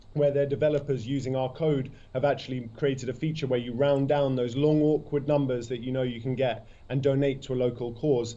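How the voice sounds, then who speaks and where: A British accent comes through. The words are delivered fairly quickly. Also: man, medium pitch for a man. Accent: British, noticeable. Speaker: startup CEO. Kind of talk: interview. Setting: remote video link from London. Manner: enthusiastic.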